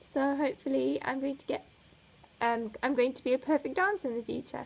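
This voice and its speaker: At a moderate pace, a woman with a slight South African accent speaks with ordinary pitch variation. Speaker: flutist vlogger. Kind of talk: casual chat.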